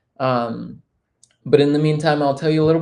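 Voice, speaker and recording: A man talks with fairly even intonation, and some room echo can be heard. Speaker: livestream host, XR film director. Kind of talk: live-streamed interview show. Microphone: hears own voice echo with delay.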